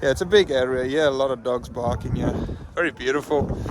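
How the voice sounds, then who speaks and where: The voice moves at a moderate pace with ordinary pitch variation. Noticeable background noise sits behind it. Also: man. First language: Afrikaans. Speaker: travel vlogger. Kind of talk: travel vlog narration. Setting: outdoors.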